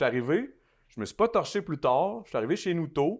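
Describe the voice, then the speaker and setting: Against a quiet background, a man with a Quebec accent makes very wide pitch swings. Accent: Québécois French. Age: 30s. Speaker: influencer and recording artist. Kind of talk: casual interview chat. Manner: fast with frequent repetitions.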